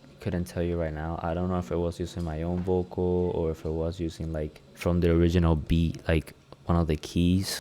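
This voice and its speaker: A man with a Spanish accent talks at a fairly quick pace in a relaxed tone, his pitch very deep and low. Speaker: music producer and rapper. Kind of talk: tutorial. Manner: casual, relaxed.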